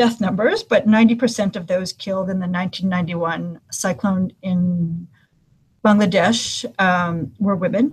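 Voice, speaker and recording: A somewhat breathy woman's voice at a moderate pace. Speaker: humanitarian gender specialist. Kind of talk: webinar presentation. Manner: frequent fillers (um, uh).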